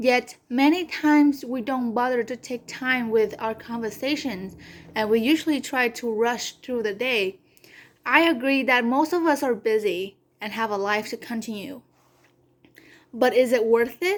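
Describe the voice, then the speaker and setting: A woman speaks with a Vietnamese accent. Her pitch is high. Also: ordinary pitch variation, fairly slow pace. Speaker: community college student. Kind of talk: class presentation speech. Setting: recorded video for online class. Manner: occasional stutter.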